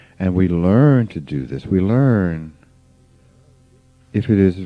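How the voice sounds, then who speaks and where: With music behind him, a man talks very slowly. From US South, rural Mississippi. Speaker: spiritual teacher. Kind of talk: informal spiritual talk.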